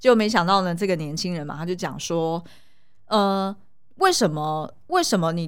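With audible room echo, a woman speaks at a fairly low pitch. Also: ordinary pitch variation, moderate pace. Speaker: podcast co-host, film commentator. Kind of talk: casual chat; sales pitch.

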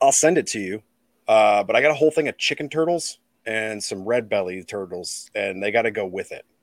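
Spoken at a fairly quick pace with a Midwestern accent and lively intonation, the voice sounds dry and close, with no echo. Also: man, medium pitch for a man. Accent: general Midwestern American. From US Midwest, Illinois. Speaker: reptile keeper and podcast host. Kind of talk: casual chat. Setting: remote call.

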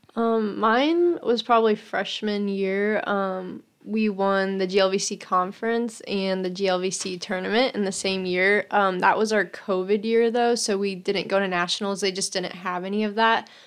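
In an ordinary speaking voice, a woman talks at medium pitch and a moderate pace, with fairly even intonation, hardly any pauses and a quiet background. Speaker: college soccer player. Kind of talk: casual interview.

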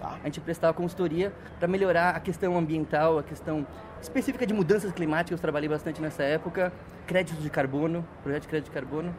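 A man talks at a very fast pace with a high pitch. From Brazil, São Paulo ABC region. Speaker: environmental and energy specialist. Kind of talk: interview. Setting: event venue in San Francisco.

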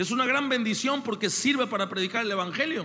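A man speaks in a raised, projected voice at a moderate pace, his pitch extremely high with ordinary variation. His tone is bright and sharp, and the room echo is audible. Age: 30s. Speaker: pastor. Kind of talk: sermon. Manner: animated.

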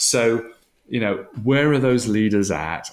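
A man with a Welsh accent talks at a fairly slow pace. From Wales. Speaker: leadership organisation founder. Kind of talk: interview.

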